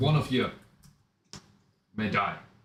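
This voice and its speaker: A man's gruff, put-on character voice. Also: medium pitch for a man. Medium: actual play. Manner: gruff, throat-clearing.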